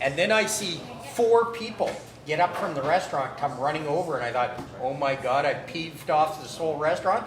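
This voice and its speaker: A man with a Canadian accent talks fairly quickly at a fairly high pitch, his intonation lively and his tone animated. Noticeable background noise and audible room echo fill the recording. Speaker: trucking magazine publisher. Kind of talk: casual chat. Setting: live stream at a barbecue restaurant. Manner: loud.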